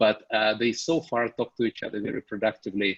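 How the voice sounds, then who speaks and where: A man speaks at a moderate pace with a Russian accent, his pitch fairly low. The sound is dry and close, with no echo. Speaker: venture capital investor. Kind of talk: investor briefing Q&A.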